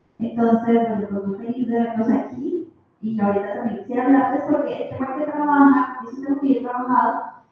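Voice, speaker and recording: Audible room echo surrounds a woman with a high pitch and fairly even intonation. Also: fairly quick pace. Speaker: audience member, former civil servant. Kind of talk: question from the floor at a conference. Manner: halting.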